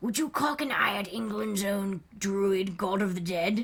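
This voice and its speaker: Using a put-on character voice, a woman speaks in a raspy, medium-pitched tone at a moderate pace. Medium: game stream. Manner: eerie, theatrical.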